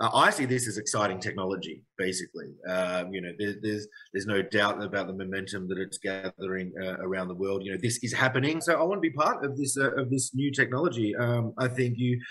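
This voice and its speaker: Speaking with an Australian accent, a man has a fairly low pitch. He talks at a very fast pace with hardly any pauses. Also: ordinary pitch variation. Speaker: game studio head. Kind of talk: live Q&A session. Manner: hesitant, many fillers.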